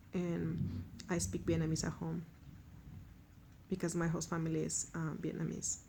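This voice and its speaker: Speaking at a moderate pace with a strong Mexican accent, a woman leaves long, frequent pauses. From Mexico. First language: Spanish. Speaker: language learner. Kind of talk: self-introduction monologue.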